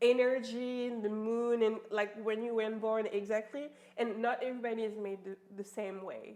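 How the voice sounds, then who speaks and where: In a French accent, a woman speaks at a fairly high pitch. Her tone is dark and mellow. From France. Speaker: life coach. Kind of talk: casual chat. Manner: fast; animated.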